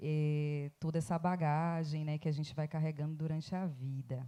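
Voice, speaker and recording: A woman speaks with a Bahian accent. Her tone is dark and mellow. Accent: Bahian Brazilian Portuguese. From Bahia, Recôncavo region, Brazil. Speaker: academic researcher. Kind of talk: panel talk. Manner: slow.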